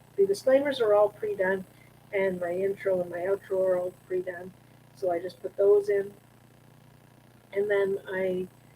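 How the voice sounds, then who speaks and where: Amid noticeable background noise, a woman speaks at a medium pitch and moderate pace, with long, frequent pauses and big swings in loudness. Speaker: YouTube content creator. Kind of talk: live stream chat. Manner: halting, many filler words.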